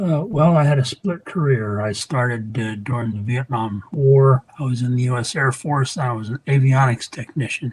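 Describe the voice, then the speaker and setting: A somewhat breathy man at a medium pitch talks with hardly any pauses. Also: ordinary pitch variation, moderate pace. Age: 70s. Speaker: retired Air Force veteran, client testimonial. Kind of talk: testimony. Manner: halting, with fillers and repetitions.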